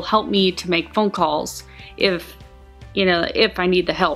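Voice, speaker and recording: Music plays in the background. The speech is fairly slow, with fairly even intonation. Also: woman. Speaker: vlogger. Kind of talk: casual talk to camera.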